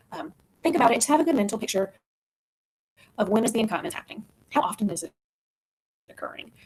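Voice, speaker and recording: With lively intonation and a somewhat breathy, fairly high voice, a woman talks at a very fast pace. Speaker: physical therapist. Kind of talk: webinar presentation.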